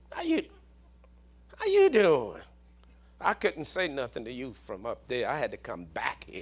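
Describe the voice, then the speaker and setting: The speaker has a Southern US accent and talks at a fairly slow pace. Long pauses come often. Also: man, big swings in loudness. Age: 60s. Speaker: preacher. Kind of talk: sermon. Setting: church.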